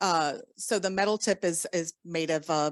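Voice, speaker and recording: In a very clean recording with a silent background, a woman speaks very slowly with a Southern US accent and fairly even intonation. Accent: Southern US, country. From US South, Southern Louisiana. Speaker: orientation and mobility instructor. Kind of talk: conference lecture. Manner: deliberately slow; hesitant, many fillers.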